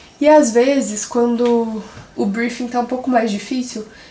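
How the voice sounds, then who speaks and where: Speaking in a serious tone, a woman with a high pitch keeps her intonation fairly even at a fairly slow pace, with noticeable background noise and audible room echo. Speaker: content creator / influencer. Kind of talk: vlog / behind-the-scenes tutorial. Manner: can sound a bit serious.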